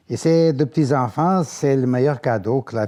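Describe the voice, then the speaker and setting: In a very clean recording with a silent background, a man with a Portuguese accent speaks at a fairly slow pace in a dark, mellow tone. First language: Portuguese (speaking French). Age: 70s. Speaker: grandparent interviewee. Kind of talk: testimony interview.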